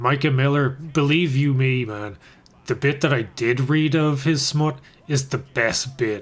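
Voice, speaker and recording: Somewhat breathy, a man talks at a medium pitch and a fairly slow pace, with fairly even intonation and very even loudness. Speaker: gaming and MMA streamer. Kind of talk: live stream chat while gaming. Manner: soft-spoken, near whisper.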